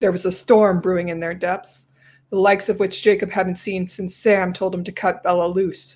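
This is plain reading aloud.

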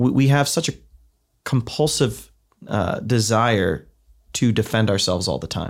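A man with a Midwestern American accent and vocal fry talks fairly slowly. He leaves long, frequent pauses. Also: medium pitch for a man, ordinary pitch variation, very clean recording, silent background. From US Midwest, Ohio. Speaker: theology professor. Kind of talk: podcast interview.

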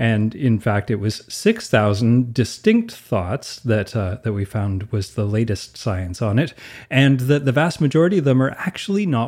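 This man has a plain, everyday voice at a medium pitch, with lively intonation and a moderate pace with hardly any pauses. The recording is very clean, with a silent background. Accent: Canadian. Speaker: podcast co-host. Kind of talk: casual chat.

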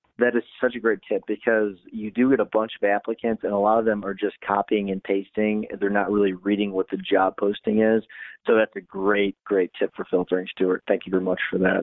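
A man with a fairly low pitch speaks at a fairly quick pace, with hardly any pauses. His intonation stays flat and monotone. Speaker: lawyer and podcast co-host. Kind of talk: interview.

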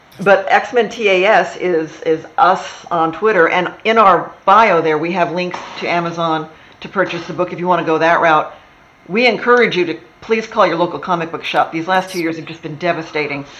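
A woman with an American accent speaks at a fairly low pitch and a moderate pace, with ordinary pitch variation. Her loudness swings widely, and background noise is noticeable. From Texas. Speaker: TV writer. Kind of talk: casual interview chat.

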